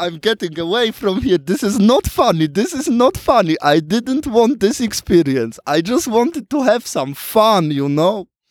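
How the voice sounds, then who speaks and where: With music in the background, a man speaks at a high pitch, his voice swinging very widely, in a dry, close sound with no echo. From Switzerland. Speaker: spiritual healer. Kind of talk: casual interview.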